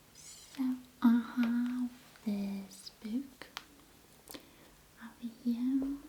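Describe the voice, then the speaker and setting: Soft-spoken and very slow, a woman with a high-pitched voice and a gentle tone talks in a flat monotone, leaving long, frequent pauses over noticeable background noise. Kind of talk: ASMR roleplay, teacher explaining a history book. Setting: close-up ASMR recording. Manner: very soft, gentle, slow.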